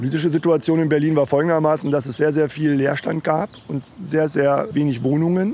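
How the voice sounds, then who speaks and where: With music in the background, a man speaks at a fairly quick pace in a fairly high pitch and fairly even intonation. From Lower Saxony, Germany. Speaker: former squatter. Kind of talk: interview. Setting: outdoors on a street.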